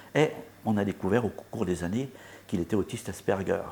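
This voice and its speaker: A man's fairly low voice at a fairly quick pace. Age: 60s. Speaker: author and musician. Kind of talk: interview. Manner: halting.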